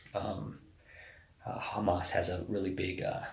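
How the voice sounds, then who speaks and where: The voice is somewhat breathy, with audible room echo around it. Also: man. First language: Spanish. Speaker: navy special forces officer. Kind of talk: casual interview. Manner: hesitant, many fillers.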